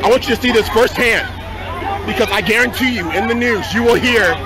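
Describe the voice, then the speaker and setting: Over crowd noise in the background, the voice moves at a fairly quick pace with ordinary pitch variation, the sound dry with no echo. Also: man. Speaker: bystander reporting on a protest. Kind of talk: commentary. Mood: agitated, indignant. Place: street. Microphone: phone near.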